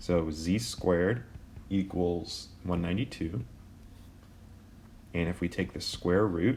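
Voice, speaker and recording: Vocal fry marks a man's very deep, low voice as he speaks at a fairly slow pace. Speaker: math teacher. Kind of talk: tutorial. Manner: casual, with fillers.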